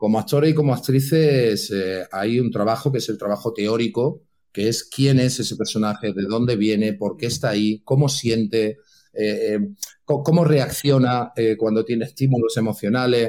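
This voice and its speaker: A man's dark, mellow tone at a medium pitch. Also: ordinary pitch variation, moderate pace. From Catalonia (Santa Coloma de Gramenet, near Barcelona). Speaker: actor. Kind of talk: casual interview.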